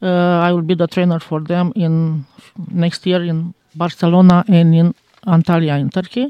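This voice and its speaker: With a Romanian accent, a woman speaks at a very slow pace in a fairly low, dark, mellow voice, her intonation fairly even and the sound dry and close with no echo. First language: Romanian (speaking French). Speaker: teacher. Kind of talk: interview. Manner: halting.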